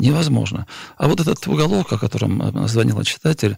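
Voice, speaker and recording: A man's voice with vocal fry. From Stavropol region, southern Russia. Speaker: journalist. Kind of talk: radio panel discussion. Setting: studio.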